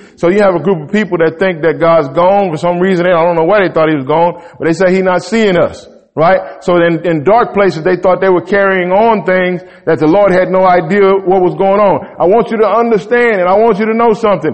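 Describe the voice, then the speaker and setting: A high-pitched man talks at a fairly quick pace in an animated tone. His loudness stays very even, with noticeable background noise present. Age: 40s. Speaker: pastor. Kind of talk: sermon.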